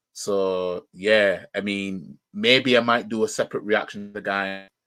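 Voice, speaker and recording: A man with a Yorkshire accent and a bright, sharp tone speaks at a fairly slow pace in a fairly low pitch with fairly even intonation, on a very clean recording with a silent background. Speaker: football fan YouTuber, live reaction streamer. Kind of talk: casual live stream chat. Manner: halting, many fillers.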